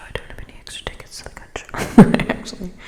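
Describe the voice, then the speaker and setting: A woman whispering amid noticeable background noise. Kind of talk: ASMR what's in my bag. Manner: whispered, close up.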